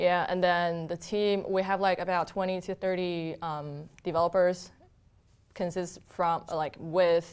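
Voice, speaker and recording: Very slow speech from a woman, fairly low in pitch, in a monotone, flat intonation. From China (Harbin, northeast). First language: Mandarin Chinese. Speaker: software engineer and content producer. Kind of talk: casual interview. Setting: studio.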